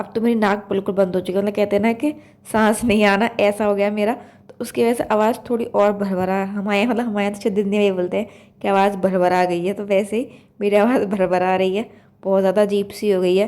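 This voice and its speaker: A woman talks at a medium pitch. Her intonation stays monotone and flat. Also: fairly quick pace. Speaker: vlogger, housewife. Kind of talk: casual vlog narration. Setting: home kitchen. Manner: loud.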